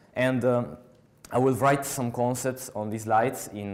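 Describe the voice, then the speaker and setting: With a strong Italian accent, a man talks at a moderate pace with fairly even intonation on a very clean recording with a silent background. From Italy. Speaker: software developer, conference speaker. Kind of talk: conference talk. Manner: halting, many filler sounds.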